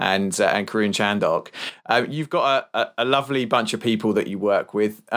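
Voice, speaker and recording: A man with a plain, everyday voice talks at a fairly quick pace, his medium pitch showing ordinary variation. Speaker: podcast co-host. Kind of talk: casual podcast interview.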